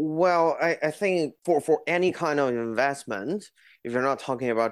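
On a very clean recording with a silent background, a man with a Chinese accent speaks at a fairly high pitch with ordinary pitch variation. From China, Beijing. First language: Mandarin Chinese. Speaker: horse racing businessman. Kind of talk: interview. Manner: hesitant, many fillers.

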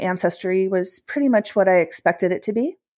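Here a woman talks at a fairly quick pace in an American accent. Her pitch varies in an ordinary way. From Washington, D.C. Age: 50s. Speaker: podcast guest sharing family story. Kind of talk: personal testimony in interview. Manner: animated storytelling.

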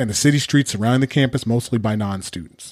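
A man with a Californian accent and medium pitch speaks with ordinary pitch variation, dry and close with no echo on a very clean recording with a silent background. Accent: Californian American. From Southern California. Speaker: podcast host. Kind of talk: scripted monologue.

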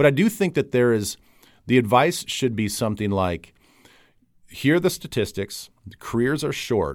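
In a very clean recording with a silent background, a man speaks in a normal speaking voice at a medium pitch, with lively intonation and a moderate pace. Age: 40s. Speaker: podcast host and football broadcaster. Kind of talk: casual interview.

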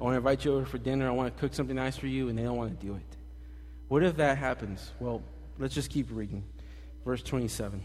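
There is audible room echo around a man's voice. He talks at a very fast pace, broken by long, frequent pauses. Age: 20s. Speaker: pastor. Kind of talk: sermon. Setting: church. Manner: animated.

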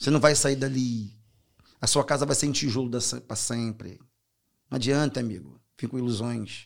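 A man talks at a very fast pace with a strong Carioca accent. His pitch is medium and his intonation fairly even. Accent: strong Brazilian (carioca). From Brazil, Rio de Janeiro (Belford Roxo). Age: 40s. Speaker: author. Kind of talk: casual interview.

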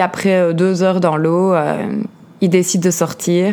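Against noticeable background noise, a woman speaks at a fairly low pitch and a very slow pace. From Belgium, Liège. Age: 30s. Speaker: podcast host, life coach. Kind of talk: personal testimony. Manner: hesitant, many fillers.

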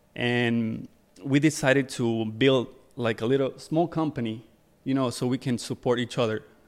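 A man with an unremarkable speaking voice and medium pitch talks at a moderate pace in a very clean recording with a silent background. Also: fairly even intonation. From Ecuador, moved to New Jersey at 14. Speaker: fashion photographer and music video director. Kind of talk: casual interview. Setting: studio.

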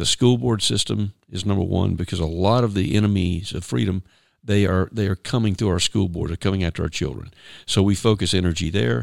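A man talks at a fairly quick pace. His voice is very deep and low. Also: ordinary pitch variation, very clean recording, silent background. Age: 50s. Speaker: founder and chairman of a civic advocacy group. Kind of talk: interview. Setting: studio. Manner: halting, many fillers.

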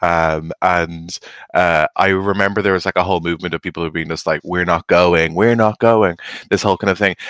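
With an Irish accent and a very deep, low pitch, a man speaks at a fairly quick pace, the sound dry and close with no echo and the background silent in a very clean recording. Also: fairly even intonation. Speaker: podcast host. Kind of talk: casual chat.

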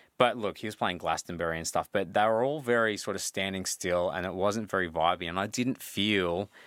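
A man's very deep, low voice with an Australian accent, dry and close with no echo, on a very clean recording with a silent background. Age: 40s. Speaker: DJ and musician. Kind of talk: casual chat.

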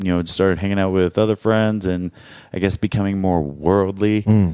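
A man's very deep, low voice moves with fairly even intonation on a very clean recording with a silent background. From US South, Arkansas. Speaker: adult film performer. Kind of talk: casual chat.

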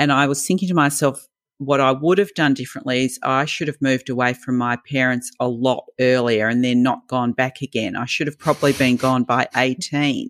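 Speaking in an Australian accent, a woman with a very deep, low pitch keeps a moderate pace and fairly even intonation, in a dry, close sound with no echo. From Melbourne, Australia. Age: 60s. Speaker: podcast co-host. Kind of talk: casual chat.

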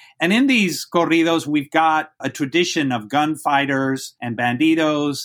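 On a very clean recording with a silent background, a man with a Spanish accent and a fairly high pitch talks with hardly any pauses and ordinary pitch variation. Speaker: university professor. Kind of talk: interview, lecture-like explanation. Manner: articulate, fluent, academic.

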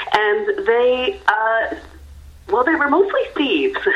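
A woman's voice over noticeable background noise. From Canada. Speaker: actor and theatre creator. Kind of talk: radio interview. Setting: phone call.

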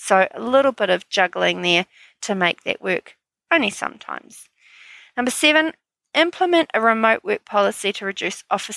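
In a New Zealand accent, a woman speaks at a moderate pace with a bright, sharp tone and lively intonation. The sound is dry and close with no echo, in a very clean recording with a silent background. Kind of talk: solo podcast monologue. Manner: upbeat, energetic.

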